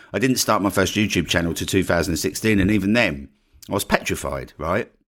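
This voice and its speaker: On a very clean recording with a silent background, a man with an Essex accent speaks in a very deep, low pitch. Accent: Essex English, slight vowel dropping. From Essex, England. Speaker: podcast host and online marketing coach. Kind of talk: solo podcast monologue, casual and promotional. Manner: casual, conversational, fills with 'right?'.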